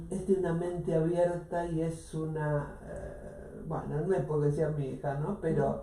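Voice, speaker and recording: A woman talks at a fairly slow pace with hardly any pauses. Noticeable background noise and audible room echo surround her voice. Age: 70s. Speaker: radio host. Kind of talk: casual chat.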